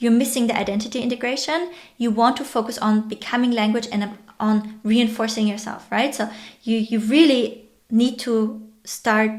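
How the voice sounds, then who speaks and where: A woman with a non-native accent speaks at a moderate pace, her fairly high voice held in a fairly even intonation. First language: not English. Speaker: online educator and entrepreneur. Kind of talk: tutorial.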